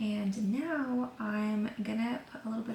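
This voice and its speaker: A woman at a fairly high pitch with fairly even intonation, over noticeable background noise. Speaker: lifestyle vlogger. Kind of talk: casual vlog talk to camera. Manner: soft-spoken, talking quietly.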